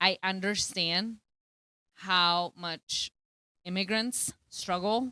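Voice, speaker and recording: In a very clean recording with a silent background and a dry, close sound, a woman with a Spanish accent talks at a fairly low pitch with fairly even intonation and a bright, sharp tone. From Colombia. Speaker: teacher. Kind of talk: casual chat.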